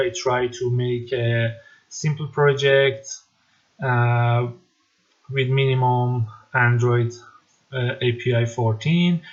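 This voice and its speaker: Somewhat breathy speech at a very slow pace. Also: man. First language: not English. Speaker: tech tutorial maker. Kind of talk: tutorial. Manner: halting, many fillers.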